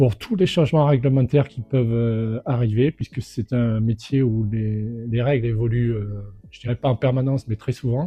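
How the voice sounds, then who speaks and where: A man's medium-pitched voice at a moderate pace, fairly even in intonation, with music in the background. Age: 60s. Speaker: real estate inspector, franchisee. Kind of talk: testimonial interview. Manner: hesitant, many fillers.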